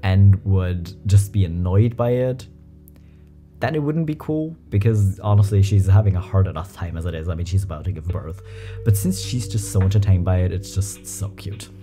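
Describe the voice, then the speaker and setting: Clear music plays in the background as a man speaks at a fairly low pitch. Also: ordinary pitch variation, moderate pace. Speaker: reaction content creator. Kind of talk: commentary and reading comments aloud. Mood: amused, light. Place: home room. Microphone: studio mic.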